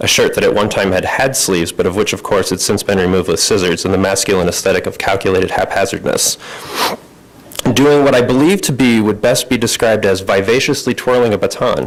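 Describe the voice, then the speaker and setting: A man talks at a very fast pace with very even loudness. Noticeable background noise sits behind him. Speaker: fiction writer, MFA student. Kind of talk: reading aloud own short story. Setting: reading event with audience.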